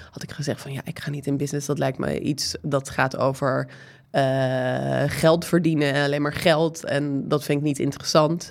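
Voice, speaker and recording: With a slight American accent, a woman speaks in a very deep, low pitch with vocal fry and monotone, flat intonation. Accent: slight American accent in Dutch. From United States. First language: English (speaking Dutch). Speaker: entrepreneur, co-founder of a menstrual products company. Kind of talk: podcast interview.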